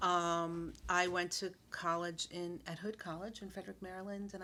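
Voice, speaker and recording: A woman with an American accent, fairly low in pitch, with a bright, sharp tone and flat, monotone intonation. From Brooklyn, New York. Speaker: school founder. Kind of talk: casual interview.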